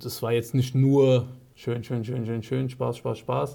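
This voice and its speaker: In a Frankfurt accent, a man with a medium-pitched, dark, mellow and somewhat breathy voice speaks in a monotone, flat intonation on a very clean recording with a silent background. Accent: sounds local, like he grew up in Frankfurt. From Germany, Frankfurt. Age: 30s. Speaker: ex-professional footballer, real estate. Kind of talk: casual interview.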